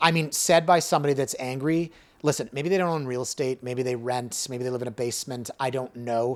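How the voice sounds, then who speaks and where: A man speaks in a normal speaking voice at a fairly quick pace, with medium pitch and ordinary variation. The recording is very clean, the background silent. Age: 40s. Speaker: realtor and real estate blogger. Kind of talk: casual chat.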